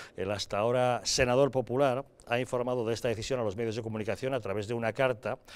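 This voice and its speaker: A man speaks at a very fast pace in a medium pitch with fairly even intonation, on a very clean recording with a silent background. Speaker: TV news presenter. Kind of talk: news reading. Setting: studio.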